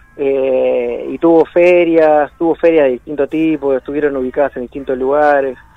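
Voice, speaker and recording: Over noticeable background noise, a man speaks with a fairly high pitch at a moderate pace. His intonation is monotone and flat. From Buenos Aires, Argentina. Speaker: rock musician. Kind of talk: radio interview.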